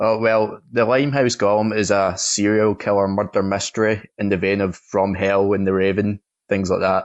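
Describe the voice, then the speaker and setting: The delivery is monotone, with flat intonation and a Scottish accent. It moves at a moderate pace. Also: man. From Scotland. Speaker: film critic. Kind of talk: film review.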